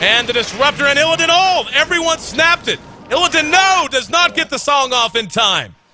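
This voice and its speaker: A raised, projected voice moves at a fairly quick pace with ordinary pitch variation over noticeable background noise. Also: man, extremely high pitch for a man. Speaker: esports commentator. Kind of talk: live commentary. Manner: loud; fast.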